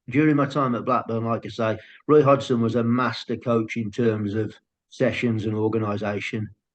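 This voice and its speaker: Talking at a fairly quick pace, a man speaks with a strong Brummie accent. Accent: thick Brummie. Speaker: football scout and coach. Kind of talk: podcast interview. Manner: halting starts.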